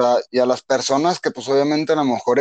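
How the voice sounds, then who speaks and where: A man with a Mexican accent, fairly high-pitched and fairly even in intonation, in a dry, close sound with no echo. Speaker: podcast co-host. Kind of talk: casual chat.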